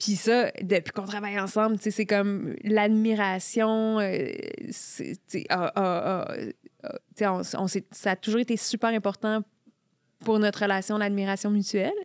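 At a very slow pace, a woman speaks with fairly even intonation at a medium pitch, recorded very cleanly with a silent background and a dry, close sound with no echo. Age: 40s. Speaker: journalist and columnist. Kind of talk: casual chat.

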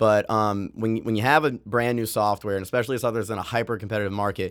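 A man has a normal speaking voice, fairly low in pitch with fairly even intonation. The recording is very clean, with a silent background. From US, moved around; mainly Maine. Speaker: software founder and music educator. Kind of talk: interview.

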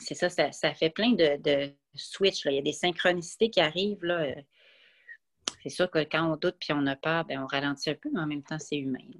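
On a very clean recording with a silent background and a dry, close sound with no echo, a woman speaks at a moderate pace in a very deep, low voice with ordinary pitch variation. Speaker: podcast guest, runner and traveler. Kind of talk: casual chat.

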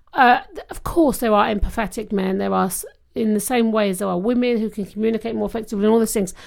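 Speaking at a very fast pace, a woman with a British accent has a fairly high pitch. The recording is very clean, the background silent. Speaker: podcast co-host. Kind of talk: casual chat.

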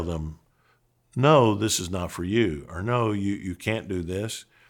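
In a very clean recording with a silent background, a man with an ordinary speaking voice talks fairly slowly at a fairly low pitch with lively intonation. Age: 60s. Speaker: pastor and seminary dean. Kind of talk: podcast monologue teaching.

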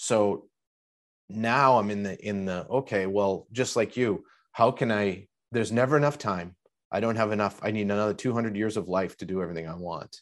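An unremarkable speaking voice from a man, fairly low in pitch, at a fairly quick pace with ordinary pitch variation. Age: 50s. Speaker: podcast host and artist. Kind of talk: casual chat.

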